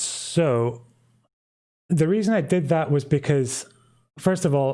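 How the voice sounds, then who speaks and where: A man with a slight Scottish accent speaks with ordinary pitch variation on a very clean recording with a silent background. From Scotland. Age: 20s. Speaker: YouTuber, history commentator. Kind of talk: live stream Q&A. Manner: halting, many fillers.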